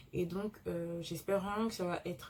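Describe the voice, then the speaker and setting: Somewhat breathy and fairly low, a woman's voice moves at a moderate pace with fairly even intonation. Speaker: law student vlogger. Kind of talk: vlog. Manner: hesitant, many fillers; soft-spoken.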